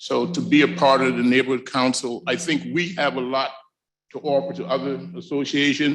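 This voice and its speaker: A man at a medium pitch with vocal fry, ordinary pitch variation and a moderate pace. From US South. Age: 60s. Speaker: community representative. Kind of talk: public comment at council meeting. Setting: city council chambers.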